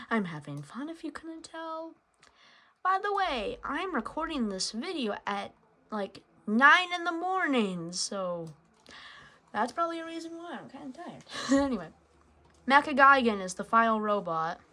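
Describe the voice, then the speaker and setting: Raising and projecting her high voice, a woman speaks at a moderate pace with very wide pitch swings, big swings in loudness and long, frequent pauses. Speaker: gaming YouTuber. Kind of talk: gameplay commentary. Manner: hesitant, many fillers.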